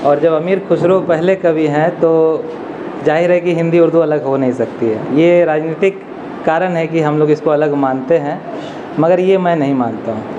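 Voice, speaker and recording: A man's fairly high-pitched voice in a Bihar accent, fairly even in intonation, with audible room echo and noticeable background noise. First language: Angika (speaking Hindi). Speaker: academic, Hindi literature scholar. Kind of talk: commemorative speech. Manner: hesitant fillers.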